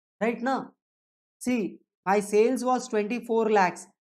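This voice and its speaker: Fairly high in pitch, a woman speaks with an Indian accent. Her pace is fairly slow and her intonation fairly even. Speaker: teacher. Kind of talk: lecture. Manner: rhetorical questions, repeating.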